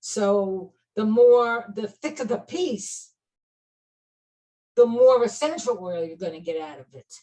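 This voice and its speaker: With a Brooklyn accent and a dark, mellow tone, a woman uses lively intonation and big swings in loudness, broken by long, frequent pauses. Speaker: clinical aromatherapist and teacher. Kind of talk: interview chat.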